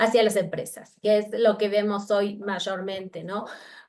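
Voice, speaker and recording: A woman speaks with an Argentine accent. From Argentina. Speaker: researcher. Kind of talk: academic talk. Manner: halting.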